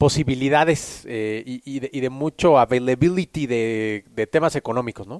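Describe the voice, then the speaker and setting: A man with a Mexican accent at a moderate pace, against a quiet background. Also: medium pitch for a man, ordinary pitch variation, big swings in loudness, dry, close sound with no echo. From Mexico City. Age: 30s. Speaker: personal branding coach. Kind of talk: casual interview.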